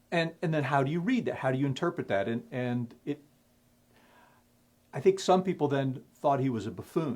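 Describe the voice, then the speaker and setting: Lively intonation marks this speech, delivered with an American accent. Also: man. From Indiana. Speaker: playwright. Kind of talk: interview. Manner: halting, repeats words.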